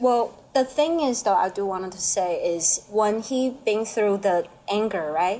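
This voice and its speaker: A woman with a Chinese accent, a fairly high pitch and lively intonation, over noticeable background noise. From Taiwan. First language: Mandarin Chinese. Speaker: painter. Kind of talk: casual chat. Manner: halting.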